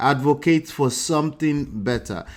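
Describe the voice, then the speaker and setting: This is a man speaking. He talks in a Nigerian accent. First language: a Nigerian language, not English. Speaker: news commentary host. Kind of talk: news commentary chat.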